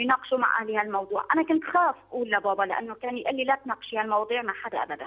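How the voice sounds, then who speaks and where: With a Syrian accent, a woman talks at a very fast pace with hardly any pauses, lively intonation and a fairly high pitch against a quiet background. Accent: Syrian Levantine Arabic. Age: 30s. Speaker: convert sharing her story; guest. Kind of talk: testimony. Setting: phone or video call. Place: studio.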